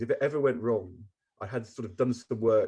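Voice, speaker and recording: His voice is somewhat breathy. The man keeps to a medium pitch. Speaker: former politician. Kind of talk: interview answer.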